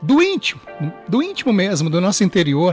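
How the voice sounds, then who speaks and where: High-pitched male speech, music playing in the background. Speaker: radio announcer. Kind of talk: devotional reflection, radio sermon.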